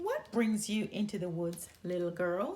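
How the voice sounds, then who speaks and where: A woman growls through a put-on character voice at medium pitch and a moderate pace. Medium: read story. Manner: sly, ingratiating.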